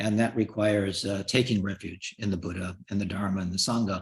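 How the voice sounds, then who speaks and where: Somewhat breathy, a man speaks at a moderate pace. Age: 70s. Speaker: Buddhist lama and teacher. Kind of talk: dharma teaching. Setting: video call. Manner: hesitant with fillers.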